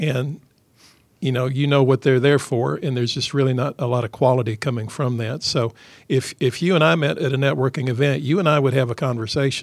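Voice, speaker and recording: At a fairly quick pace, a man speaks at medium pitch with ordinary pitch variation, a normal speaking voice. The recording is very clean, with a silent background. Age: 50s. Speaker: business chamber founder. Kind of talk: radio interview. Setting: radio studio.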